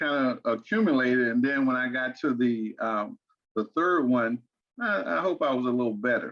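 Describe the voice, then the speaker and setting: A man speaks with an American accent at medium pitch. His intonation is lively. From Arkansas and Fort Wayne, Indiana. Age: 60s. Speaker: financial strategist. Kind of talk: podcast interview. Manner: repetitive, halting starts.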